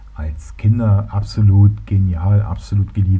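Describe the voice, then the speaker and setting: A man with a slight Berlin accent. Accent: faint Berlin. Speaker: solo podcaster. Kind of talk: casual monologue. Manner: hesitant, many fillers.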